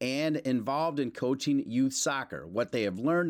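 The recording is very clean, with a silent background. A man speaks in a normal speaking voice at a moderate pace, with ordinary pitch variation. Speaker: podcast host and broadcaster. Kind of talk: interview.

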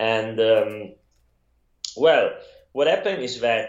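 This man speaks with an Italian accent. His pace is fairly slow. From Italy. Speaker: photographer and yoga practitioner. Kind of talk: casual interview.

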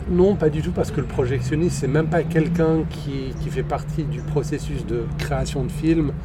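Over music in the background, a man talks at a moderate pace with hardly any pauses, his voice carrying audible room echo. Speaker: podcast host. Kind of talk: casual chat. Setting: outdoors in a park.

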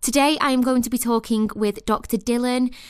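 An unremarkable speaking voice at a fairly quick pace, in a very clean recording with a silent background. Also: woman. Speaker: podcast host. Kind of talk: interview, friendly chat.

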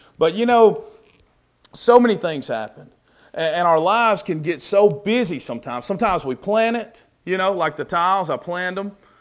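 In a Southern US accent, a man talks at a fairly quick pace in a high pitch with lively intonation, on a very clean recording with a silent background. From US South. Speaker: preacher. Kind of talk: sermon. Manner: casual, conversational.

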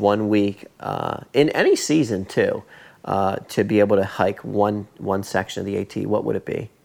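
On a very clean recording with a silent background, a man uses an ordinary speaking voice, fairly low in pitch, with fairly even intonation at a moderate pace. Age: 30s. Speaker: podcast host, thru-hiker. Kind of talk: casual interview. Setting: in person, at guest's home.

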